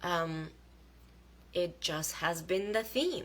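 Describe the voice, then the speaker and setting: Speaking very slowly in a non-native accent, a woman shows ordinary pitch variation against audible room echo. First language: not English. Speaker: spiritual vlogger. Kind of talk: casual live monologue. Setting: livestream video. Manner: halting.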